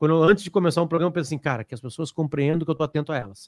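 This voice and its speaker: A man with a fairly high pitch, dry and close with no echo. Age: 40s. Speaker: journalist and podcast host. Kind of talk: casual interview.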